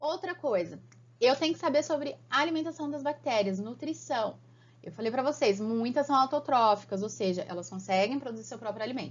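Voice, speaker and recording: This woman's voice sits high in pitch, with lively intonation. She talks at a fairly quick pace. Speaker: biology teacher. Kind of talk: online lecture. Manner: animated.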